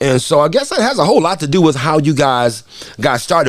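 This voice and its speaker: With music playing behind him, a man with an American accent speaks at a fairly quick pace in an animated tone with lively intonation. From Detroit, US Midwest. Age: 60s. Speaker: radio host. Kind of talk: interview.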